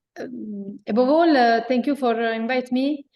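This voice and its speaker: With an Italian accent, a woman speaks using ordinary pitch variation. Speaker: chamber of commerce president. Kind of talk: panel talk. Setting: remote video call from office. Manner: hesitant in English.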